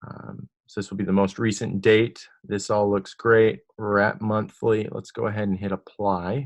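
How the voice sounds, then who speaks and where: A man's unremarkable speaking voice, fairly low in pitch, fairly slow with hardly any pauses and fairly even intonation. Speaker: software demo presenter. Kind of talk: tutorial.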